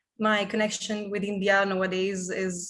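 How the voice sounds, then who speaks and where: Keeping a moderate pace, a woman speaks with intonation that is fairly even. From Italy. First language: Italian. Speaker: business consultant. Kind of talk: panel discussion.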